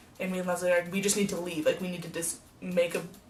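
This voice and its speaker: Noticeable background noise fills the recording. Through it comes a woman's voice. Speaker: vlogger. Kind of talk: casual storytelling vlog. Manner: fast; animated.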